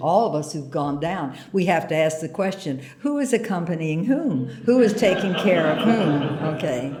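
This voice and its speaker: The intonation is lively. Room echo can be heard. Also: woman. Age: 80s. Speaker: retired peace activist. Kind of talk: award acceptance speech.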